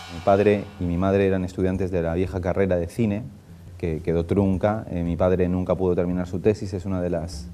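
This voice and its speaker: A man's very deep, low voice in a flat monotone at a fairly quick pace, with audible room echo and music in the background. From Spain. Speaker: film director and screenwriter. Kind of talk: interview. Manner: halting.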